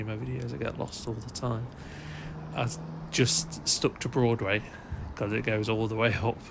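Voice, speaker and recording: A man with an English accent talks at a medium pitch and a moderate pace, his voice showing vocal fry. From England. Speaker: running vlogger. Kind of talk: voiceover narration. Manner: hesitant, many fillers.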